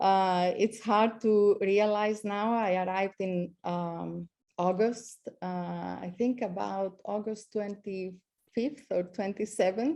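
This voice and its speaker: A woman with a slight Greek accent speaks very slowly. Her voice is medium in pitch with fairly even intonation. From Greece. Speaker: astronomy professor. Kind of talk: speech. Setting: video call. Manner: halting.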